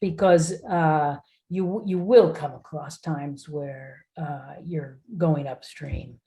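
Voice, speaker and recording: Somewhat breathy, a woman with an American accent speaks at a fairly slow pace. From United States. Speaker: corporate board director. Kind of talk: interview. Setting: video call.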